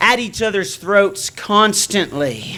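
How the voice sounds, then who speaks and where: A man speaks at a very slow pace in a raised, projected voice, pitched high with a bright, sharp tone. His intonation is lively. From Nova Scotia, Canada. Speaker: preacher. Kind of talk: sermon.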